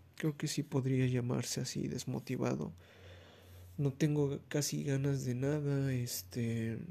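In a very clean recording with a silent background, a man with a Mexican accent speaks at a very slow pace. His medium pitch carries a dark, mellow tone and ordinary pitch variation. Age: 20s. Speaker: podcaster. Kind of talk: casual monologue. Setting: recording at night.

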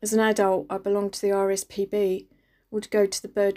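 A woman with a London accent talks at a fairly quick pace in a dark, mellow tone with monotone, flat intonation. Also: very clean recording, silent background. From East London, England. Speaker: radio reflection speaker. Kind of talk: scripted reflection.

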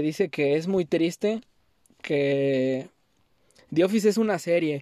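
A man with a northern Mexican accent speaks at a very slow pace in a high pitch. His pitch variation is ordinary, and the sound is dry and close with no echo. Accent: sounds like a northern Mexican rancher. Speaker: podcast host. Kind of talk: casual monologue. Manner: pausing often.

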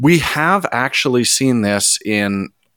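The man speaks at a very slow pace with a medium pitch, and the sound is dry and close with no echo. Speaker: photography podcast co-host. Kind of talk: casual chat with ad read.

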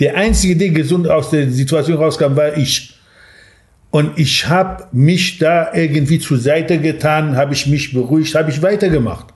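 Delivered at a moderate pace with fairly even intonation and very even loudness, the speech carries audible room echo. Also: man, fairly high pitch for a man. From Iranian Kurdistan (Sanandaj). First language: Kurdish (speaking German). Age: 60s. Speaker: café owner. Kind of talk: interview.

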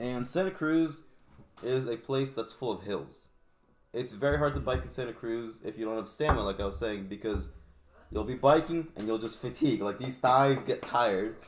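Here a man speaks at a medium pitch with a moderate pace. He has an ordinary speaking voice. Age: 20s. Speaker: podcast guest, motorcyclist. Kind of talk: casual chat.

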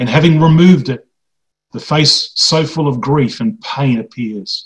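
This man's voice is somewhat breathy and fairly high in pitch. His pitch variation is ordinary. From Greek background. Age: 50s. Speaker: preacher. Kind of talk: sermon.

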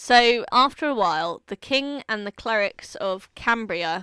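Her voice, a woman's at medium pitch with a bright, sharp tone and ordinary pitch variation, comes through a very clean recording with a silent background and a dry, close sound with no echo. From southern England. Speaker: podcast co-host. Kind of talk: casual chat.

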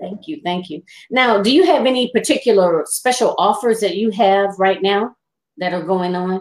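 A woman talks at a moderate pace with medium pitch and lively intonation. It is an ordinary speaking voice. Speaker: talk show host. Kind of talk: casual interview. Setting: live stream on laptop.

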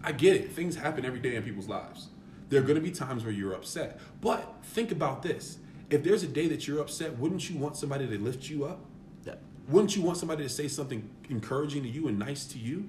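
Audible room echo surrounds this man. He talks at a very fast pace. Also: fairly high pitch for a man, lively intonation. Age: 30s. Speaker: former basketball player. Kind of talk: casual chat.

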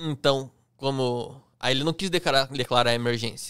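At a moderate pace and medium pitch, a man with a plain, everyday voice speaks in a dry, close sound with no echo on a very clean recording with a silent background. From Curitiba, Paraná, southern Brazil. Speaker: airplane pilot. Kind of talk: casual chat.

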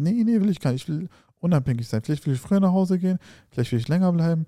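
Over a very clean recording with a silent background, a man with a dark, mellow tone and a somewhat breathy voice talks at a very fast pace with lively intonation, in a dry, close sound with no echo. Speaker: food YouTuber and podcast co-host. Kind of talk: casual chat.

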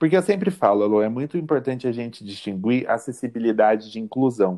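Against a quiet background, the speaker's dark, mellow tone moves at a fairly quick pace with lively intonation. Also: man. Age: 20s. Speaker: law student. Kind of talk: interview.

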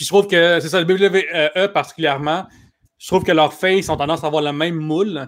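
A man with a high pitch talks at a fairly quick pace. His intonation stays fairly even while his loudness swings widely. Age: 30s. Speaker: comedian and writer. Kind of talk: casual chat.

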